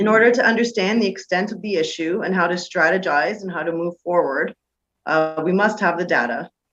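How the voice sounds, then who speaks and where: With a Canadian accent, a woman speaks at a fairly low pitch with ordinary pitch variation. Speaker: political candidate. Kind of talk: campaign presentation. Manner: fast.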